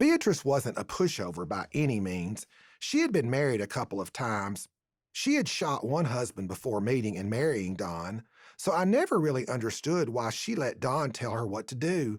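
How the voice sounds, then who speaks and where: On a very clean recording with a silent background, a man with a Tennessee accent speaks with very wide pitch swings. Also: medium pitch for a man, moderate pace. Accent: Southern US, Tennessee. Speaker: author and storyteller. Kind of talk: humorous story reading. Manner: homespun humorous storytelling.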